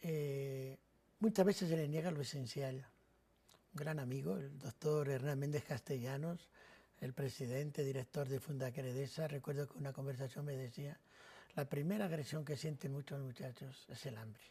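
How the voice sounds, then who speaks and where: At a moderate pace, a man with a dark, mellow, somewhat breathy tone talks at a fairly high pitch with ordinary pitch variation. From Spain, Madrid (Carabanchel); born in Navarra. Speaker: priest. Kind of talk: TV interview.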